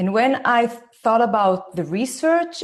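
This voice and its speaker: Speaking with an Israeli accent, a woman uses fairly high pitch at a fairly slow pace. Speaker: parenting educator, former lawyer. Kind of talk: online talk.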